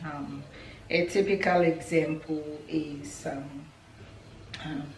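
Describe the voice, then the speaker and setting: A woman with a very deep, low pitch speaks in a monotone, flat intonation, with audible room echo and noticeable background noise. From Ghana. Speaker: lifestyle vlogger. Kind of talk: casual vlog talk to camera. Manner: hesitant, many fillers.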